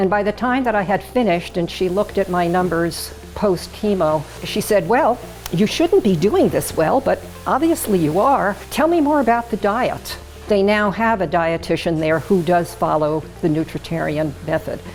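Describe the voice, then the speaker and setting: Music in the background behind a woman's medium-pitched voice, moderate in pace, lively in intonation and very even in loudness. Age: 80s+. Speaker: retreat attendee, patient testimonial. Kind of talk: testimony.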